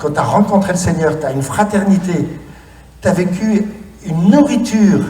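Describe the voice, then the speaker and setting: An animated man with lively intonation at a fairly slow pace, amid audible room echo and noticeable background noise. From France, cider region (Normandy or Brittany). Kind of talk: conference talk. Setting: stage with audience. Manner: animated, interactive.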